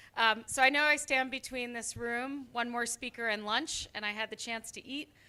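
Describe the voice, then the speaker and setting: A woman with an American accent and a bright, sharp tone, at a moderate pace with ordinary pitch variation, on a very clean recording with a silent background. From US. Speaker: biotech company representative. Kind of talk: conference talk. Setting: conference hall with audience.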